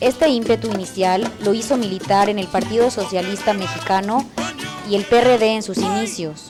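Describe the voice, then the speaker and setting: Music in the background beneath a woman's moderate pace. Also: medium pitch for a woman, ordinary pitch variation. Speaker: TV announcer. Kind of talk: biographical narration read.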